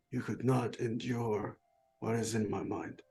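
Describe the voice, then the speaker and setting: This man moves at a moderate pace and a medium pitch. His voice is a raspy, put-on character voice. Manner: ominous, grave.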